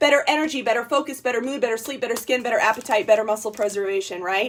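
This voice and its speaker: The voice is loud and animated in tone. Its intonation is lively. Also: woman. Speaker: network marketing distributor. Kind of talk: sales pitch. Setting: livestream.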